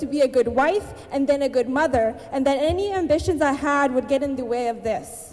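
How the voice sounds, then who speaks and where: A woman's high-pitched voice at a moderate pace, amid noticeable background noise. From Abbotsford, British Columbia, Canada. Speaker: spoken word artist and writer. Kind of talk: spoken word poetry performance. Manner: rhythmic, empowering delivery.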